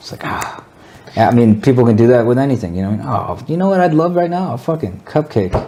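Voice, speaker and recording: Mumbling at a very fast pace, a man with a medium pitch makes very wide pitch swings over noticeable background noise. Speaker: podcast guest. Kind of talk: casual chat. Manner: slightly slurred, mumbling.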